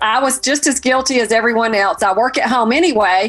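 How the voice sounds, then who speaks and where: This woman's voice sits fairly high in pitch, with a slight Southern US accent. Her pitch varies in an ordinary way. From US South. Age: 60s. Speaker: fashion and home decor blogger. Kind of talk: online community talk.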